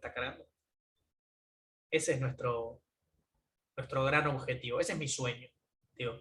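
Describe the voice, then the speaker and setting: With a Rioplatense accent, a man talks in a fairly high, bright and sharp voice with fairly even intonation. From Argentina, Buenos Aires. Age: 20s. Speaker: tech entrepreneur. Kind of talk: closing conference talk. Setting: remote talk from home.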